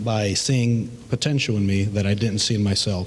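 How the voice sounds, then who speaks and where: Fairly even intonation from a man with an American accent. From US Midwest, Chicago. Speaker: school board candidate. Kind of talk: candidate forum statement. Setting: public forum with audience. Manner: halting, many fillers.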